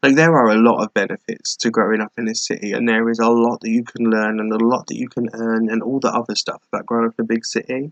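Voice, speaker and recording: A man with an English accent talks fairly quickly at a medium pitch. His intonation is a flat monotone, and the sound is dry and close with no echo. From England. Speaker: vlogger. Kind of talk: casual chat. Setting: laptop webcam recording at home. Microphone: laptop webcam mic.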